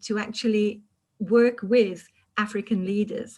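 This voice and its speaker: The voice carries a British accent and sounds somewhat breathy. Delivery is fairly slow with fairly even intonation. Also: woman. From United Kingdom. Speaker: public speaking club leader. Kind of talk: panel discussion.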